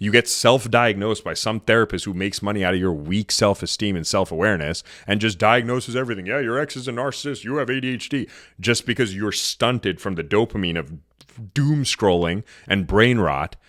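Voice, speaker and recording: In a very clean recording with a silent background, a man with a fairly low pitch speaks in an animated tone at a fairly quick pace, with ordinary pitch variation. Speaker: dating and relationship podcast host. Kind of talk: podcast monologue. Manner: fast.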